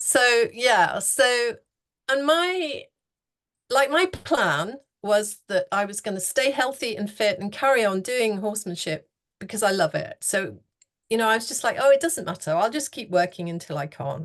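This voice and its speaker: Over a quiet background, a woman talks at a moderate pace in a fairly high pitch with very wide pitch swings. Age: 60s. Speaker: horsemanship coach. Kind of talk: interview.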